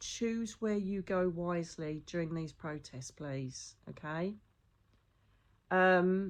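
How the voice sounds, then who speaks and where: A woman speaks with an English accent, fairly low in pitch and with ordinary pitch variation. Her pace is very slow against a quiet background. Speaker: psychic medium. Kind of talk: casual monologue.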